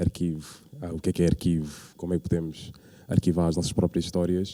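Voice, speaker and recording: A man's dark, mellow tone in a dry, close sound with no echo, on a very clean recording with a silent background. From Portugal, Lisbon area (Odivelas). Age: 20s. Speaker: curator and community organiser. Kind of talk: public talk. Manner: halting, many fillers.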